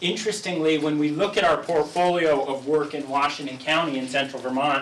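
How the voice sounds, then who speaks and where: A man talks at a fairly quick pace with ordinary pitch variation, with audible room echo and light background noise. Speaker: guest. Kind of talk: presentation. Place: meeting room. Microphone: camera far.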